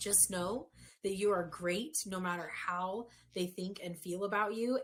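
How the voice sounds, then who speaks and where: Loud, bright and sharp in tone, a woman speaks at medium pitch with ordinary pitch variation. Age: 30s. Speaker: human design and breath work coach. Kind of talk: casual chat.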